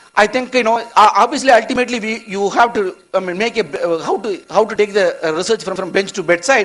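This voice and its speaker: At a very fast pace, a man with a high pitch talks with ordinary pitch variation. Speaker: eye research scientist. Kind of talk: conference lecture. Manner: halting.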